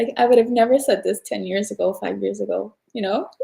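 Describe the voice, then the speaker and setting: This woman's voice has a fairly high pitch and a dark, mellow tone. She sounds somewhat breathy. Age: 40s. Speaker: podcast guest. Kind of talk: casual chat. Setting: live stream.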